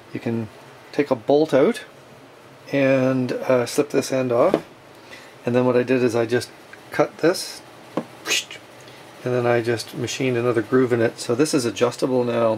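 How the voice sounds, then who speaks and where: The speech is fairly slow, with long, frequent pauses and noticeable background noise. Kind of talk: tutorial. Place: workshop.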